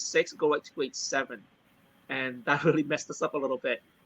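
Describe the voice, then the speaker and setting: Speaking very fast in a fairly high, bright and sharp voice, a man is heard in a dry, close recording with no echo. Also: big swings in loudness. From Vietnam, raised in British Columbia, Canada. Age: 50s. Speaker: MMA gym owner. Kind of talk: interview.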